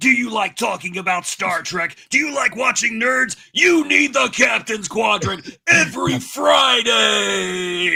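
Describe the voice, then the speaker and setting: A man shouting in a put-on character voice, high-pitched, at a fairly slow pace. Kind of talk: announcer.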